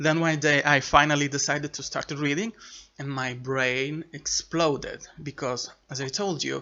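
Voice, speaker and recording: This man has an Italian accent, a fairly high pitch, a moderate pace and fairly even intonation. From Italy, Sicily. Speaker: booktuber. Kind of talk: casual chat. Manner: halting, with fillers and restarts.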